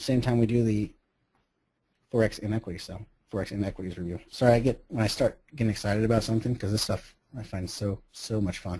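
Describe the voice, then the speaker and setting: At a very fast pace, a man talks in a fairly low, somewhat breathy voice with a dark, mellow tone. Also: fairly even intonation. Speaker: professional trader. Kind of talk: webinar presentation.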